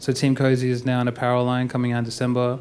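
A very fast American-accented man at a medium pitch, with flat, monotone intonation. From Perth, Western Australia. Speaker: music producer. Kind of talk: onstage interview. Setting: stage with audience. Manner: casual.

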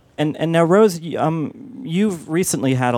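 Over noticeable background noise, a man's intonation sounds lively. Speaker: film critic moderator. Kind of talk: moderated panel Q&A. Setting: stage with audience.

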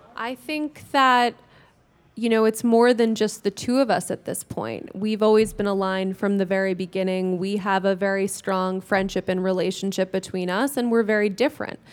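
Recorded very cleanly against a silent background, a woman with an American accent has a plain, everyday voice at a medium pitch with ordinary pitch variation. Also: moderate pace. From New York. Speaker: startup co-founder. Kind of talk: panel talk.

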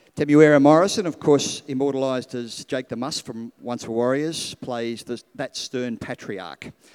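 A man talks in a normal speaking voice at a moderate pace with ordinary pitch variation. The recording is very clean, with a silent background and a dry, close sound with no echo. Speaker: event moderator. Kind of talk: moderated Q&A. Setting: stage with audience.

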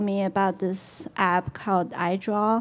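A woman talks at a medium pitch with a Chinese accent. Her intonation stays fairly even. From China. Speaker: illustrator. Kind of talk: panel talk on stage.

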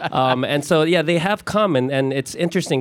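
Ordinary pitch variation from a man with an ordinary speaking voice. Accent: American. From US, Filipino family. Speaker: stage actor. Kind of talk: panel discussion. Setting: stage with audience.

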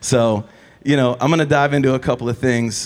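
Medium in pitch, the voice belongs to a man. It is an ordinary speaking voice. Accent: American. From Cleveland, Ohio. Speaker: photographer and event interviewer. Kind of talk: live on-stage interview. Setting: store stage with audience.

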